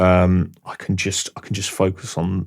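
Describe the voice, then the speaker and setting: This is a man speaking. The recording is very clean, with a silent background. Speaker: songwriter. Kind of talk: interview. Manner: halting.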